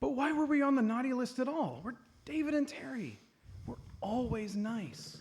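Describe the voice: In a put-on character voice with a slightly mellow tone and a slightly husky edge, the speaker moves at a moderate pace with lively intonation. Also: man, extremely high pitch for a man.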